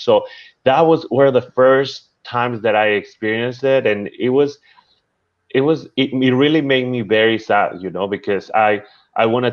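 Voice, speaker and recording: With a Spanish accent, a man speaks at a moderate pace and medium pitch, with ordinary pitch variation. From Peru. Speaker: chef and social media creator. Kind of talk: interview. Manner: halting, many repetitions.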